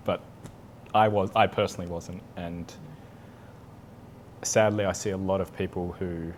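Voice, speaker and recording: With an Australian accent, a man speaks in a very deep, low pitch at a moderate pace, his delivery monotone and flat with long, frequent pauses. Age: 40s. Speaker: Psych-K facilitator. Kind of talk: interview answer.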